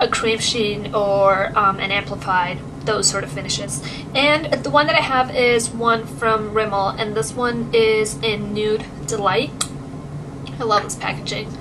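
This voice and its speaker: Amid noticeable background noise, a woman speaks fairly slowly at a fairly high pitch with lively intonation. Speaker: beauty vlogger. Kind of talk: casual talk to camera.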